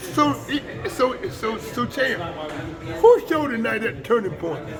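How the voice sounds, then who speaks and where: A man's extremely high-pitched voice at a moderate pace, with audible room echo and music in the background. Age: 80s+. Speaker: retired boxing promoter. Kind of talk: casual interview chat. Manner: animated.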